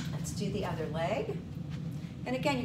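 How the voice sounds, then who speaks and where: With loud background noise behind her, a woman speaks with ordinary pitch variation. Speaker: fitness instructor. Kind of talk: exercise class instruction. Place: home room. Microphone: camera far.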